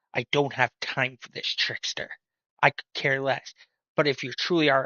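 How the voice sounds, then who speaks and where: A man puts on a gruff character voice at a medium pitch, speaking at a moderate pace. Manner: dismissive.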